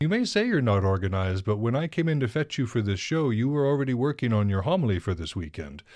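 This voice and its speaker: A man with an American accent and a medium pitch talks at a very fast pace with very wide pitch swings and hardly any pauses. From northern Montana. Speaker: podcast host. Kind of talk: casual interview.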